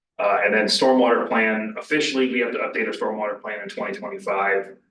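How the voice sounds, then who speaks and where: Speaking at a fairly quick pace, a man is heard with audible room echo. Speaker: village official reporting to council. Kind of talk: council meeting report. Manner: halting, many fillers and repeats.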